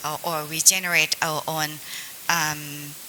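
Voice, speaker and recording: A woman with a Thai accent speaks at a very slow pace. Noticeable background noise is present. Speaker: government agency representative. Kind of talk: panel discussion. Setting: seminar panel in hotel.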